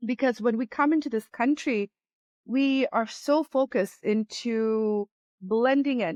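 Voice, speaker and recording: This woman's voice is fairly high. The sound is close and dry, without any echo. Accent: Spanish. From Latin America, moved to US as young child. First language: Spanish. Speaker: business owner. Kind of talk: interview. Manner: frequent repetitions and fillers.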